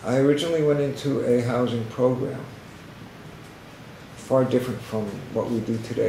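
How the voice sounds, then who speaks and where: A man with an American accent talks at a moderate pace, medium in pitch with fairly even intonation. Noticeable background noise and audible room echo fill the recording. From Boston area. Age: 60s. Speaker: homeless outreach worker, former homeless alcoholic. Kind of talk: testimony.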